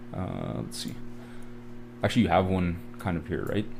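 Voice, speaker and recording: A man with a Canadian accent and lively intonation, with music in the background and audible room echo. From Canada. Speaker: forex trading educator. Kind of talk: live trading tutorial. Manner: casual, filler-heavy.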